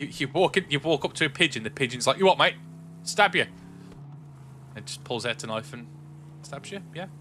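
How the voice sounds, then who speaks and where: A man speaks in a fairly high, bright and sharp voice with vocal fry and lively intonation. His loudness swings widely, and he leaves long, frequent pauses. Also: fairly quick pace. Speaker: gaming streamer. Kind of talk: casual chat. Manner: casual, stumbling.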